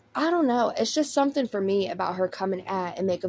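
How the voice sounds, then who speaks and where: A woman in a Southern US accent, medium pitch, with very wide pitch swings. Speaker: commentary YouTuber. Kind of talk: drama commentary. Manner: casual.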